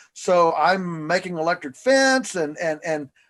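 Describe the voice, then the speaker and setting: A man is speaking. His voice is high-pitched. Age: 60s. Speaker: farmer. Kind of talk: interview. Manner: halting, many fillers and repeats.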